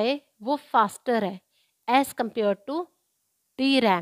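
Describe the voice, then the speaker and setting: The voice shows ordinary pitch variation on a very clean recording with a silent background and a dry, close sound with no echo. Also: woman. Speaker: computer science tutor. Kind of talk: tutorial.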